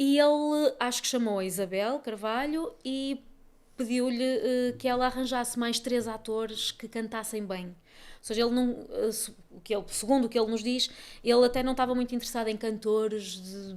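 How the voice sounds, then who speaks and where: Fairly even intonation at a moderate pace, with big swings in loudness. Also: woman, high pitch for a woman. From northern Portugal, Barcelos (Minho). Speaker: actress and singer. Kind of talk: interview conversation. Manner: hesitant, many fillers.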